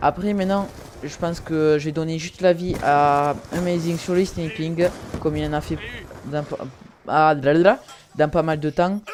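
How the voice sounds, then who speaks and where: Someone with a southern French accent speaks at a fairly slow pace, leaving long, frequent pauses. The intonation stays fairly even against noticeable background noise. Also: man, fairly high pitch for a man. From southern France. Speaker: gaming YouTuber. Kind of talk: casual gaming chat. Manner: halting, many fillers.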